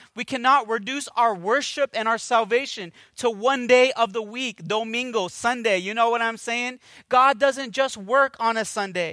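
On a very clean recording with a silent background, a man with an extremely high pitch uses a raised, projected voice at a moderate pace, his tone bright and sharp as well as animated and warm. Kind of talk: sermon. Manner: animated, exhortative preaching with call-and-response prompts; warm, earnest, conversational pastor delivery.

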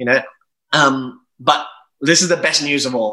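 The tone is bright and sharp, delivered at a moderate pace. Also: man. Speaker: travel journalist and publisher. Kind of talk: casual interview.

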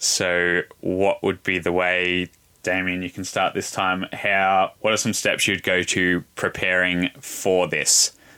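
Speaking very slowly, a man has a very deep, low pitch and a bright, sharp tone. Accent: Australian. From Australia. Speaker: pro cyclist and cycling coach. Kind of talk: casual panel discussion. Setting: live online audio room.

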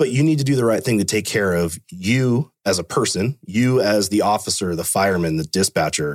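A man with a Californian accent talks at a fairly quick pace with hardly any pauses, using a fairly low pitch and lively intonation, in a very clean recording with a silent background and a dry, close sound with no echo. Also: very even loudness. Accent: Californian American English. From Fremont, California. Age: 30s. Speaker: police officer, canine handler and hostage negotiator. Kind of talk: casual interview conversation.

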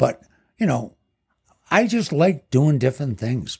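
On a very clean recording with a silent background, a man with a dark, mellow, somewhat breathy tone speaks at a moderate pace, his pitch swinging very widely. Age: 70s. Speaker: island bar owner. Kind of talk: casual interview. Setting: bar.

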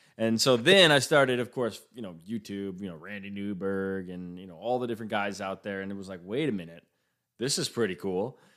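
On a very clean recording with a silent background, a man with an ordinary speaking voice talks at a fairly quick pace and fairly low pitch, showing ordinary pitch variation and big swings in loudness. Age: 30s. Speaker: podcast host. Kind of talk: casual interview chat. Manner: casual, with filler words.

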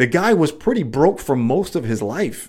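The voice shows very wide pitch swings and vocal fry. It moves at a fairly slow pace. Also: man. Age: 40s. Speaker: podcast host and former professional athlete. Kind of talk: solo motivational talk. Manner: halting.

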